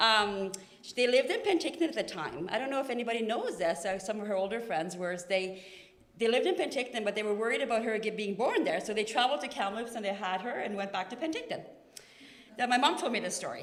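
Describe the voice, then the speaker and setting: Over noticeable background noise and audible room echo, a woman with a Norwegian accent talks at a very fast pace in a fairly high voice with lively intonation. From Norway. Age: 40s. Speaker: family member giving a eulogy. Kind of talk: eulogy. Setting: memorial service in a church. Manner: talkative, unscripted.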